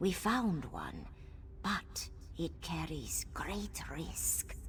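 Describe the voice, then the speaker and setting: Someone performs in a put-on character voice at a very slow pace. Background noise is clearly audible. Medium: video game. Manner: measured, storytelling.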